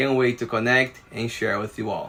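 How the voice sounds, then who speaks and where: A man with a Brazilian Portuguese accent speaks at a moderate pace in a bright, sharp, medium-pitched voice with flat, monotone intonation. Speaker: watercolor artist. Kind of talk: promotional announcement.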